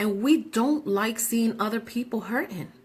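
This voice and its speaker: Her voice sits fairly high and is somewhat breathy. This woman's intonation is lively. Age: 40s. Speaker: radio show host. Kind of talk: casual talk show monologue. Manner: animated.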